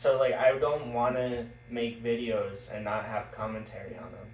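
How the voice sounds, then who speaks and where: Speech moves at a fairly slow pace. Audible room echo and noticeable background noise are present. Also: man. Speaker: backyard wrestler and channel host. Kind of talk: casual chat. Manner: monotone.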